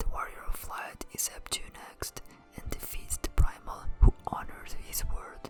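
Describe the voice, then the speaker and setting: Someone whispers at a fairly slow pace with a non-native accent while music plays in the background. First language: not English. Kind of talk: ASMR lore narration. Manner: whispered.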